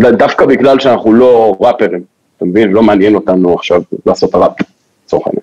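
The speaker's intonation is lively and the pace fairly quick. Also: man. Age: 20s. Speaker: DJ. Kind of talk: casual chat. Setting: studio.

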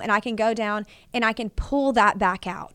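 A woman with a Texas accent speaks at a fairly high pitch and a moderate pace, with ordinary pitch variation. The recording is very clean, with a silent background. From Texas, Fort Worth. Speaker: roofing and solar company owner. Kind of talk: casual chat.

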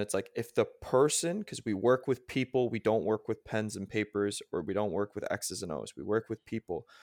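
A man's ordinary speaking voice, medium in pitch, with ordinary pitch variation at a moderate pace, in a very clean recording with a silent background and a dry, close sound with no echo. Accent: Canadian. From Canada. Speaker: strength coach and personal trainer. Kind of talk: casual interview.

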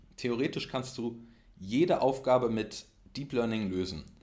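This man speaks very slowly, his medium pitch moving with ordinary variation. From Berlin, Germany. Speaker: data scientist. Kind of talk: interview.

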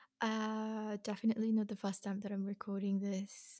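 A woman's fairly high, somewhat breathy voice carries a dark, mellow tone on a very clean recording with a silent background. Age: 20s. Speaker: podcast host. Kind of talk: casual monologue.

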